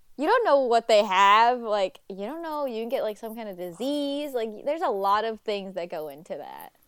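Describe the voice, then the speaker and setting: This woman has a fairly high pitch and lively intonation, in an American accent at a moderate pace. The recording is very clean with a silent background. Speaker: podcast host. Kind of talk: casual chat.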